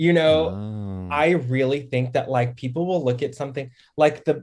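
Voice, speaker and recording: A man with a medium-pitched, somewhat breathy voice speaks at a moderate pace. The recording is very clean, with a silent background. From Texas, Dallas-Fort Worth. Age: 20s. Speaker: TikTok creator. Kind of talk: casual chat.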